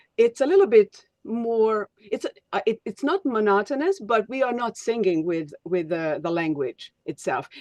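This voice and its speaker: With a Hungarian accent and a fairly high pitch, a woman speaks at a fairly slow pace with hardly any pauses and very wide pitch swings, her sound dry and close with no echo. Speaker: speech coach. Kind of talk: webinar teaching. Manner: halting, many fillers.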